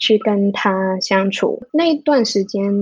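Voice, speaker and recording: A woman speaks with a Cantonese accent and lively intonation. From Hong Kong. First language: Cantonese (speaking Chinese). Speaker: music therapist. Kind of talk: interview. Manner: halting.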